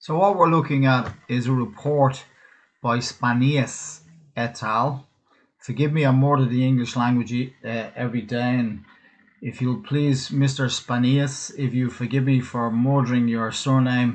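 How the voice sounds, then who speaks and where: A man with a Dublin accent and fairly even intonation, against a quiet background. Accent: Dublin Irish. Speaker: cutman and physical therapist giving a webinar. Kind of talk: webinar presentation. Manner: casual, hesitant with fillers.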